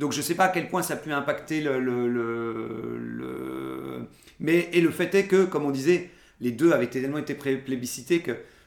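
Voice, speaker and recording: A man speaks at a fairly high pitch with ordinary pitch variation and a fairly slow pace. Noticeable background noise is present. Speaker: podcast host. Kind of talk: casual chat. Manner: halting, many filler words.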